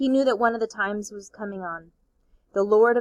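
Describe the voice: Against a quiet background, the pitch varies in an ordinary way during plain reading aloud.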